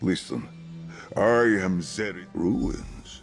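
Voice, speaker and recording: A put-on character voice plays against clear music in the background. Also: man. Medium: video game. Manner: formal, solemn.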